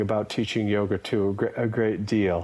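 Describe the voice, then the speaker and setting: A man talks with an American accent. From USA. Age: 60s. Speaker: yoga teacher and Buddhism scholar. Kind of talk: interview.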